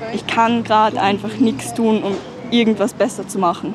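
A woman at medium pitch speaks with fairly even intonation over noticeable background noise. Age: young. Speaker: climate activist. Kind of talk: interview. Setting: outdoors.

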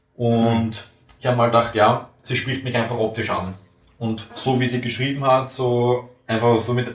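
A man speaks at a moderate pace with an Austrian accent. His pitch sits in the medium range. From Vienna, Austria. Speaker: tool-making technician. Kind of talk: casual interview.

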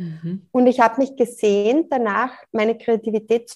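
In a normal speaking voice, a woman talks at a moderate pace with a fairly high pitch and ordinary pitch variation. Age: 40s. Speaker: life coach. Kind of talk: interview.

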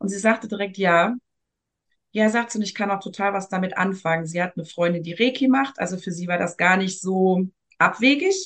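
She has a normal speaking voice at a medium pitch for a woman. Her pace is moderate, and her pitch varies in an ordinary way. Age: 40s. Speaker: energy work practitioner. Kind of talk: casual interview. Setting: podcast interview.

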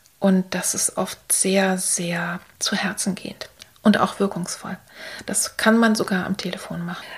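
A woman talks at a fairly slow pace and a medium pitch. She keeps a monotone, flat intonation. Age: 60s. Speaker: art therapist and podcast host. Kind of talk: solo podcast talk.

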